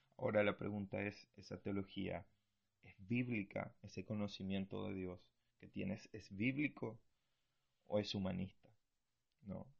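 The voice jumps sharply between loud and soft, stops often for long pauses, and keeps a fairly even intonation. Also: man, fairly low pitch for a man. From Argentina. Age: 20s. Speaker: missionary and podcast host. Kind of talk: bible teaching talk. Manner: hesitant, many fillers.

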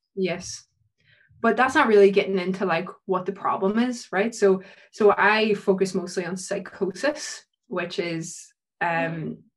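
A woman talks in a Northern Irish accent at a fairly slow pace. Her medium pitch shows ordinary variation. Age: 20s. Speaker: PhD researcher in psychology. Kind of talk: casual interview.

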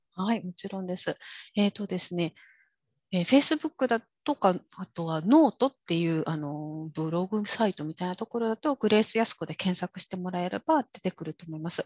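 A normal speaking voice at a fairly quick pace, with lively intonation, big swings in loudness, and a dry, close sound with no echo. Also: woman, medium pitch for a woman. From Kyushu, Japan (rural). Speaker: interpreter and executive coach. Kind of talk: interview.

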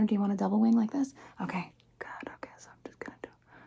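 Amid noticeable background noise, a whisper moves at a fairly quick pace. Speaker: ASMR creator. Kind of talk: ASMR roleplay. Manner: animated.

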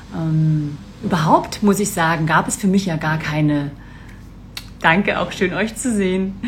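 Long, frequent pauses amid noticeable background noise and audible room echo. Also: woman, fairly low pitch for a woman, ordinary pitch variation, fairly slow pace. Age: 40s. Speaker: business mentor. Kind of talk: live stream talk. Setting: live video stream.

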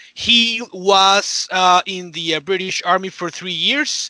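Bright and sharp in tone, a man projects a raised voice at a high pitch and a fairly slow pace, with ordinary pitch variation and a dry, close sound with no echo. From Mexico. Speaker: podcast guest panelist. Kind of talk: casual chat. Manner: halting.

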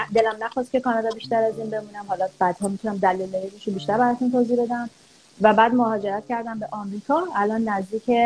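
A woman with a fairly high pitch and ordinary pitch variation speaks at a very fast pace. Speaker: early childhood educator and parenting coach. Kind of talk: interview.

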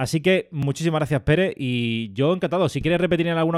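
A man speaks with lively intonation. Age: 30s. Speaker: podcast host and freelance journalist. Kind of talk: scripted narration; casual chat. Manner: halting.

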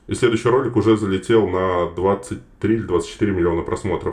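A somewhat breathy male voice. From Russia, Moscow. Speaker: actor and TikTok creator. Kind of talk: casual interview chat.

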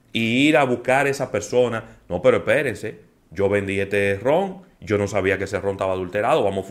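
On a very clean recording with a silent background, a man with an unremarkable speaking voice talks fairly quickly at a fairly low pitch with ordinary pitch variation. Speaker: radio host. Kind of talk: radio talk show, casual discussion. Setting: radio studio.

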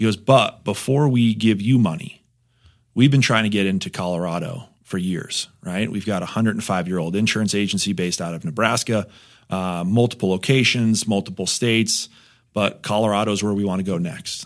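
On a very clean recording with a silent background, a man with an American accent speaks at a fairly quick pace in a plain, everyday voice, his pitch fairly low with ordinary variation. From New Jersey. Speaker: insurance agent. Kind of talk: casual interview.

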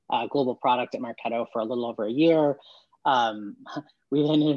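A man with an ordinary speaking voice and a General American accent speaks at a fairly quick pace in a medium pitch with fairly even intonation, in a dry, close sound with no echo against a quiet background. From US West Coast, mainly Portland, Oregon. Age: 40s. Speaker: tech startup founder. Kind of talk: interview.

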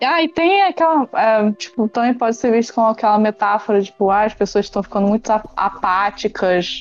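A woman talks with hardly any pauses at a fairly high pitch. Music plays behind her. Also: ordinary pitch variation, moderate pace, very even loudness. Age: 20s. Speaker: podcast guest discussing films. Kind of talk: casual chat.

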